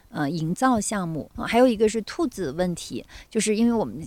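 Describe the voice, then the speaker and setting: The speech comes at a fairly quick pace with lively intonation, on a very clean recording with a silent background. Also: woman. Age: 50s. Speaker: kindergarten founder and teacher. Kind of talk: casual chat. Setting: outdoors on a farm.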